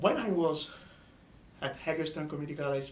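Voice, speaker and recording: Audible room echo surrounds a man with an Ivorian accent. His pitch sits fairly high. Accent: Ivorian (West African). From Ivory Coast. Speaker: student organizer. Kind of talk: interview.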